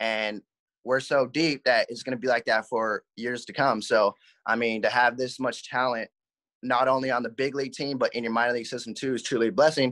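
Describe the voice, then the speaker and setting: A man with an American accent at a fairly quick pace, fairly even intonation, and a quiet background. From Southern California, Covina area; California. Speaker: minor league baseball player. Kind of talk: interview; interview answer. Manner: halting. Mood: relaxed, grateful. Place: home room. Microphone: video call.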